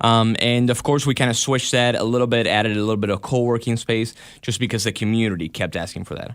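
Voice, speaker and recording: A man's very fast speech with a Spanish accent, fairly even intonation and hardly any pauses. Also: medium pitch for a man. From Argentina, Buenos Aires. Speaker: videographer and studio owner. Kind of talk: radio interview. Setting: radio studio.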